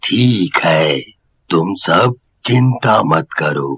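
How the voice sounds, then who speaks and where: In a raspy, cartoonish character voice, a man with a calm tone uses very wide pitch swings at a fairly low pitch, in a dry, close sound with no echo. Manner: calm, fatherly.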